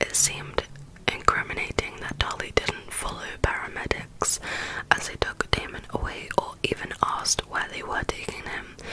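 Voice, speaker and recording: A woman whispers at a moderate pace. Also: big swings in loudness. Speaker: ASMR content creator. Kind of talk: whispered true crime narration for relaxation. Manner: whispered, soft-spoken. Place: home room. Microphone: studio mic.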